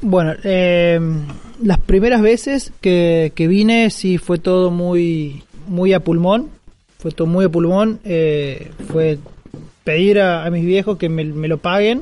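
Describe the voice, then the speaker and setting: A man's high-pitched voice at a very slow pace. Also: ordinary pitch variation. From Argentina, Córdoba. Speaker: security community organizer. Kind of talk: interview conversation. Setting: live recording at a security conference.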